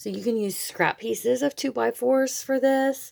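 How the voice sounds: At a fairly slow pace, a woman talks with vocal fry and a slightly mellow tone. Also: fairly high pitch for a woman, ordinary pitch variation.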